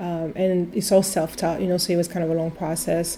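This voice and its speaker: A woman speaks in a French accent. Her intonation is monotone and flat. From France, Italian family. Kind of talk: casual interview. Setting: in her shop. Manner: halting, many fillers.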